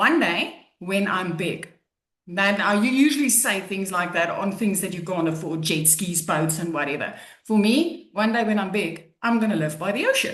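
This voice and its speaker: A woman speaks at a medium pitch and moderate pace with lively intonation. Audible room echo surrounds her voice. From South Africa. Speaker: online business coach. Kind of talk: testimony. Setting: webinar.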